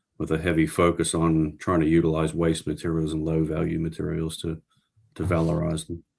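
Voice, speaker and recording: In an Australian accent, a man with a very deep, low pitch talks fairly quickly in flat, monotone intonation. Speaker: professor. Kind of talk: interview.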